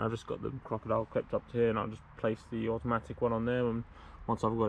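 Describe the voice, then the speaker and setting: With a dry, echo-free sound, a man speaks very fast in a flat monotone. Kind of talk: tutorial. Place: garden. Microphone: phone near.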